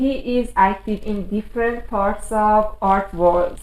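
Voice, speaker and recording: Speaking at a medium pitch with ordinary pitch variation, a woman goes at a very slow pace. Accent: non-native. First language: not English. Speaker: chat room host. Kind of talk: scripted intro.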